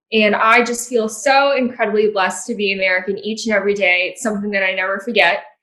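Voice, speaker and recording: Bright and sharp in tone, a woman's fairly high voice runs at a very fast pace with hardly any pauses and fairly even intonation. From born in China or Hong Kong, immigrant to US. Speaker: political delegate. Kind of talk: roundtable discussion.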